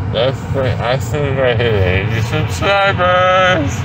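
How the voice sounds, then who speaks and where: Very slow delivery from a man, noticeable noise behind him. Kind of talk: casual vlog chat. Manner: dazed, slurred, loopy. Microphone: phone near.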